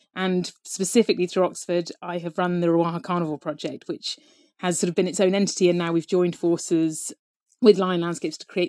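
A woman with a southern English accent talks at a very fast pace with fairly even intonation, on a very clean recording with a silent background and a dry, close sound with no echo. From Devon, southwest England. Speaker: wildlife conservation researcher. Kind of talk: casual interview.

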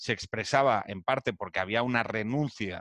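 This man has a plain, everyday voice with ordinary pitch variation. He talks at a fairly slow pace. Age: 40s. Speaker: podcast host. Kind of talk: casual chat.

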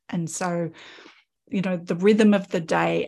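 A woman with an Australian accent speaks at a fairly slow pace, somewhat breathy. The recording is very clean, with a silent background. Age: 50s. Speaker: podcast host, artist. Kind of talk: casual chat.

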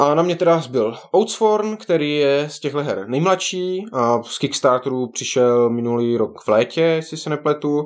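In a normal speaking voice, a man with a fairly high pitch talks at a moderate pace with lively intonation and hardly any pauses, on a very clean recording with a silent background. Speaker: board game podcast host. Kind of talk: casual chat.

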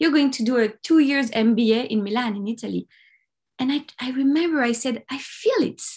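Against a quiet background, a woman speaks at a high pitch. Her intonation is lively and her pace moderate. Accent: French. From France, Paris. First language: French. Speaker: life coach and documentary producer. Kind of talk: interview, personal story.

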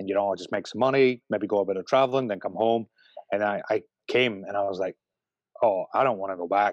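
With a Scottish accent, a man speaks at a fairly quick pace in a fairly low pitch and fairly even intonation, the sound dry and close with no echo against a quiet background. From Scotland. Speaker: brewer, beer maker. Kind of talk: casual interview.

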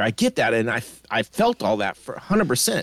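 The speech moves at a very fast pace. The sound is dry and close, with no echo. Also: man. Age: 50s. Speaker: podcast co-host, movie reviewer. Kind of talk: casual chat.

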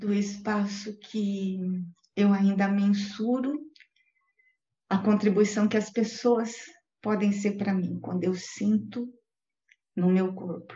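The voice is somewhat breathy and monotone, moving at a very slow pace with long, frequent pauses. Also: woman, medium pitch for a woman. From Brazil, São Paulo city, later interior of Paraná. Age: 50s. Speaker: guest interviewee, facilitator. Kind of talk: interview, live online chat. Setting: live online video call.

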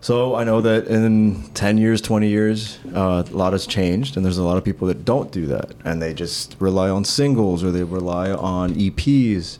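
A man's very deep, low voice at a moderate pace with hardly any pauses, ordinary pitch variation and noticeable background noise. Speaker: guitarist in a band. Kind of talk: casual chat.

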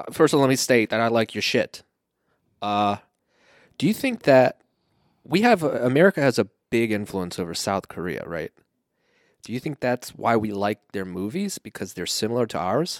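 A man of medium pitch mumbles at a moderate pace with lively intonation and long, frequent pauses, recorded very cleanly against a silent background with a dry, close sound and no echo. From Iran (ethnic Iranian). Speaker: podcast co-host. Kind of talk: casual chat. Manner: mumbles and fumbles.

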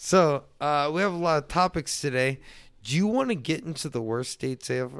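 A man with a plain, everyday voice speaks at a fairly high pitch and a moderate pace. His intonation is lively, and the recording is very clean with a silent background. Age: 30s. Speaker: podcast host. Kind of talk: casual chat.

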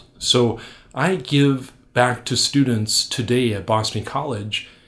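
With ordinary pitch variation, a man talks in a somewhat breathy voice at medium pitch. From North Dakota. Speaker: Jesuit priest. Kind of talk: interview.

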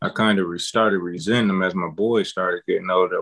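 With an American accent, a man talks in a very deep, low pitch and a monotone, flat intonation. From Flint, Michigan. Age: 30s. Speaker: father. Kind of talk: casual chat.

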